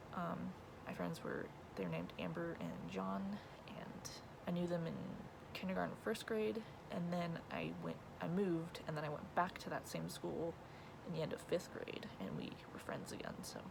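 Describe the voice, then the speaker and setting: A woman speaks quietly at a moderate pace, with long, frequent pauses. The room echo is audible and the background noise is noticeable. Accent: American. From California. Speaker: vlogger. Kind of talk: casual Q&A vlog. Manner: wavering, shy.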